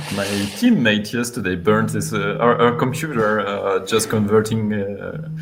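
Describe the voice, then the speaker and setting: A man speaks with a French accent and a fairly low pitch. His pitch varies in an ordinary way over light background noise. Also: moderate pace. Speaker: GIS expert panelist; panelist. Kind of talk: panel Q&A session. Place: home room.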